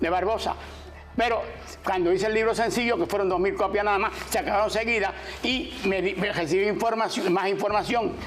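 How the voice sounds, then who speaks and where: A man with a high pitch talks at a fairly quick pace with fairly even intonation and very even loudness. There is noticeable background noise and audible room echo. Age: 80s+. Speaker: author and cooperative leader. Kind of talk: interview.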